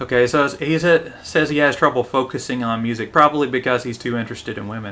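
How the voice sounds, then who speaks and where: Talking at a very fast pace, a man uses a Southern US accent. His medium-pitched voice has a bright, sharp tone and ordinary pitch variation. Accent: moderate southern US. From US South, Tennessee. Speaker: English teacher, live streamer. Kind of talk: live stream commentary and English lesson. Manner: casual, with fillers.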